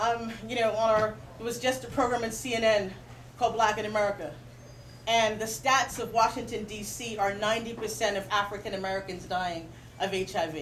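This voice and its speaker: A woman with a normal speaking voice talks at a fairly quick pace, her pitch fairly high and her intonation fairly even. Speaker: spoken word poet. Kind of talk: casual talk to audience. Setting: bookstore reading event, live audience.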